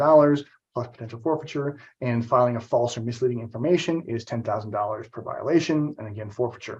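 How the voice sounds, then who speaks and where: Speaking at a very fast pace, a man has a medium pitch, ordinary pitch variation and a somewhat breathy sound. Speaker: trade compliance trainer. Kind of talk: webinar presentation.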